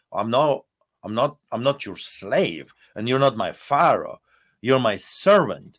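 Over a silent background in a very clean recording, a man talks at a fairly slow pace with vocal fry, lively intonation and a medium pitch. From Poland. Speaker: pastor. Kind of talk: interview.

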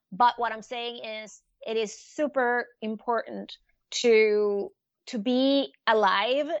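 A woman speaks with a Spanish accent in a fairly high pitch. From Venezuela. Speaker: art advisor and author. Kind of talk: interview. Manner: animated.

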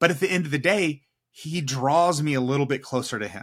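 With an American accent, a man speaks at a moderate pace in a fairly high, bright, sharp voice on a very clean recording with a silent background. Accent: slight Texan, some New York-like vowels. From Texas, inner-city Houston. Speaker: ministry network leader, former pastor. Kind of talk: casual interview chat. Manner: repeats words, halting starts.

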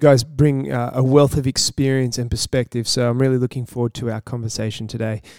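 A man speaks in a plain, everyday voice at a medium pitch and a fairly quick pace. His intonation stays fairly even, and the sound is dry and close with no echo. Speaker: roundtable host. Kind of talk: moderated panel discussion.

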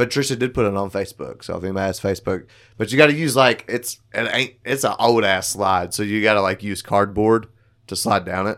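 A man talks at a fairly quick pace in a fairly low pitch, with ordinary pitch variation. It is an unremarkable speaking voice, in a very clean recording with a silent background. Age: 30s. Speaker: podcast co-host. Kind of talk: casual chat.

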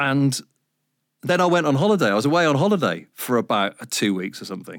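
Here a man talks with very wide pitch swings. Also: very clean recording, silent background. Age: 50s. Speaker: radio presenter. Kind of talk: casual chat.

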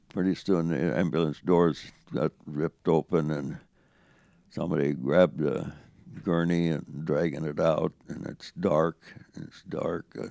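The voice is dark and mellow with vocal fry, moving at a fairly slow pace with fairly even intonation. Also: man. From central Saskatchewan, Canada; raised from teens in Yakima, Washington. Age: 90s. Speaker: war veteran. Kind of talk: interview storytelling.

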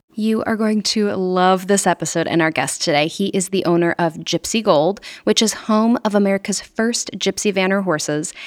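A woman with a normal speaking voice talks at a moderate pace, her pitch medium. The sound is dry and close, with no echo. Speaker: podcast host. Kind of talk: scripted intro and casual interview.

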